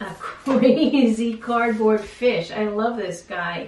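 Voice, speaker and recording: A woman in an animated tone, with audible room echo and noticeable background noise. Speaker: art teacher. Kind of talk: tutorial.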